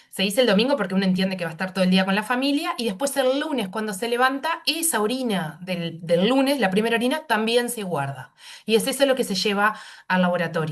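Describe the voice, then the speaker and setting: A woman speaking at a very fast pace with very wide pitch swings. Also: fairly high pitch for a woman. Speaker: pediatric nephrologist. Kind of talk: medical panel discussion.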